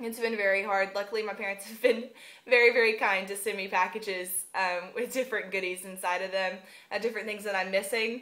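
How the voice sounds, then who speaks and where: Speaking at a very fast pace with a Southern US accent, a woman has a bright, sharp tone, a medium pitch and flat, monotone intonation. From US South. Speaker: vlogger, university student. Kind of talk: casual vlog monologue. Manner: unscripted, frequent um fillers.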